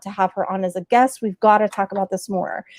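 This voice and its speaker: The sound is close and dry, without any echo. A woman talks at a moderate pace. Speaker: talk show host. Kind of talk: live video interview. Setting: live stream. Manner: casual, laid back.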